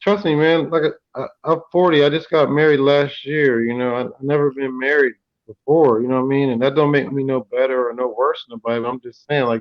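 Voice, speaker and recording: A man's plain, everyday voice, fairly high in pitch, with fairly even intonation and a fairly quick pace. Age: 40s. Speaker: podcast host. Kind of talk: casual chat.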